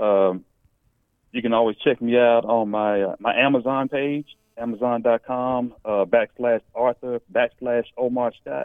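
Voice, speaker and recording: With an American accent, a normal speaking voice moves at a fairly slow pace with fairly even intonation. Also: man, medium pitch for a man. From Los Angeles, then Dallas, Texas. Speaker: author. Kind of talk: radio interview.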